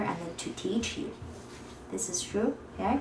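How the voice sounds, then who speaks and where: With a Chinese accent, a woman talks at a fairly slow pace amid noticeable background noise and audible room echo. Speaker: interview host. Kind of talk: casual interview chat. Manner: halting.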